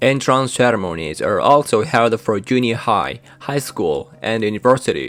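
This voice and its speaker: A man with a Japanese accent, fairly slow pace and ordinary pitch variation. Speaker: YouTuber sharing cultural experiences. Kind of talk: scripted narration.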